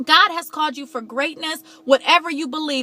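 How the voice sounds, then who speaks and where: A woman's high, bright and sharp voice, raised and projected, with an animated tone. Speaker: motivational vlogger. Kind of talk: motivational talk. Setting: in a car.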